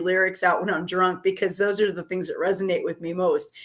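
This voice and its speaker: A woman has a plain, everyday voice at a medium pitch and talks at a fairly quick pace. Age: 60s. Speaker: tarot reader. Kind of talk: casual talk to camera.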